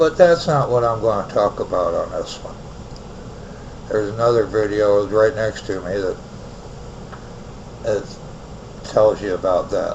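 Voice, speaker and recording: A man with an American accent at a fairly slow pace, long, frequent pauses, and noticeable background noise. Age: 60s. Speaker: online radio host. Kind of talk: personal storytelling monologue. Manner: casual.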